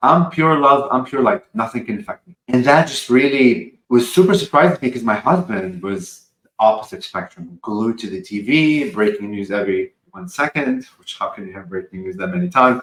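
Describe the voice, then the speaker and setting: Speaking at a moderate pace with hardly any pauses, a man at medium pitch makes very wide pitch swings and big swings in loudness. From Lebanon, moved to US at fifteen. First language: Arabic and French. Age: 40s. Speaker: spiritual channeler. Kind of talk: podcast interview. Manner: animated.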